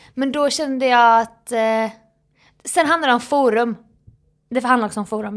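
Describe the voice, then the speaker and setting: A woman's fairly high voice at a very fast pace, fairly even in intonation, on a very clean recording with a silent background. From Jönköping, Småland, Sweden. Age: 30s. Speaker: comedian and social media creator. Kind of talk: casual chat.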